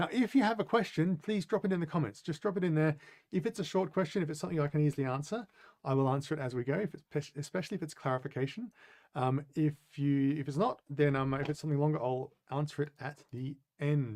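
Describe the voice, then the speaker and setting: Speaking at a very fast pace in an Australian accent, a man uses a fairly high pitch and lively intonation. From Australia, Adelaide. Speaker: business consultant and coach. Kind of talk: webinar presentation. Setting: live online webinar. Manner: halting, many fillers.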